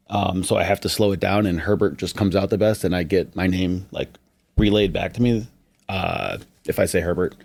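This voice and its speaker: In an American accent, a man talks at a fairly quick pace. His pitch is fairly low, and his intonation stays fairly even. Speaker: roofing salesman. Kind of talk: casual podcast chat. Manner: fast.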